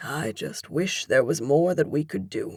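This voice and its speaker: A woman does a raspy put-on character voice, quiet and fairly low in pitch, at a moderate pace. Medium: read story. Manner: quiet, calm.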